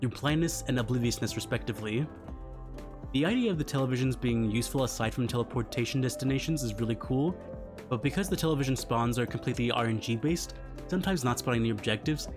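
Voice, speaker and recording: Music plays in the background as a man talks at a very fast pace. His medium-pitched voice shows ordinary pitch variation. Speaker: gaming video creator. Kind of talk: video game commentary. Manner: low energy.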